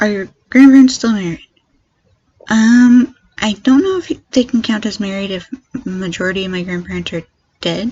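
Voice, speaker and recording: A woman with an American accent speaks at a fairly high pitch in a somewhat breathy voice, her pitch varying in an ordinary way, with long, frequent pauses. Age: 20s. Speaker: YouTuber. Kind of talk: Q&A tag video. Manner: fast.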